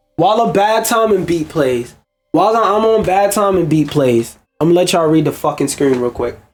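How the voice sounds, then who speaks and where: Music plays in the background as the speaker talks at a fairly quick pace with lively intonation and very even loudness. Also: man, high pitch for a man. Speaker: gaming commentary streamer. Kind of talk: casual reaction commentary.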